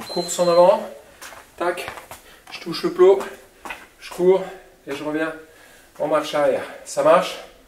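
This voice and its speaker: Audible room echo and light background noise accompany a man speaking at a fairly slow pace. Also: big swings in loudness. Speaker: fitness coach. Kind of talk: workout instruction while exercising. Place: gym.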